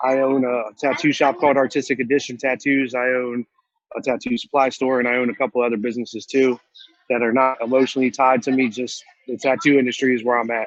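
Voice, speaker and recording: A man talks at a very fast pace. His intonation stays monotone and flat. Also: medium pitch for a man. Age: 40s. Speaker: tattoo shop owner and entrepreneur. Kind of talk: motivational talk. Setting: video call from inside a store. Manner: casual, conversational.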